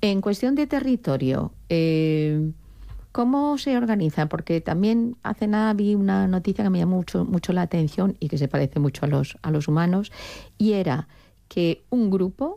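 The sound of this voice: Speaking at a moderate pace with few pauses, a woman has a fairly low pitch, vocal fry, lively intonation and a dark, mellow tone.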